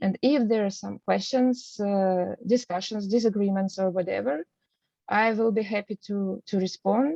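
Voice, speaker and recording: A woman at medium pitch with a non-native accent, in a dry, close sound with no echo. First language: not English. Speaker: art researcher presenting. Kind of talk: lecture. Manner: halting, many fillers.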